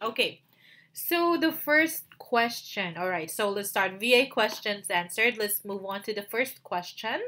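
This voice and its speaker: Speaking at a fairly slow pace, a woman has a Filipino accent and a fairly high pitch. Her tone is bright and sharp, with lively intonation. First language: Tagalog. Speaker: virtual assistant and YouTuber. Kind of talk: tutorial. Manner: halting, many fillers.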